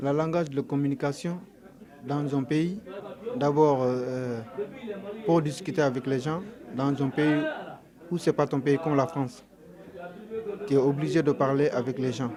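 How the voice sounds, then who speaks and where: A man with a fairly high pitch speaks with long, frequent pauses over noticeable background noise. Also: ordinary pitch variation, fairly slow pace. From Senegal. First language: Mandinka (speaking French). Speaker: undocumented migrant. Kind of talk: interview testimony. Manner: halting, with hesitations.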